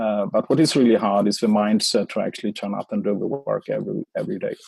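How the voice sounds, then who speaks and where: A man with a Swedish accent at a very fast pace, in a dry, close sound with no echo. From Sweden. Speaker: author and marketing expert. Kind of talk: interview.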